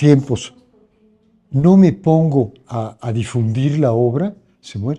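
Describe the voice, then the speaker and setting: A man speaks at a very slow pace with a Mexican accent. His tone is dark, mellow and somewhat breathy. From Mexico City. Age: 70s. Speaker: cultural heritage keeper. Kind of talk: interview conversation. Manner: halting.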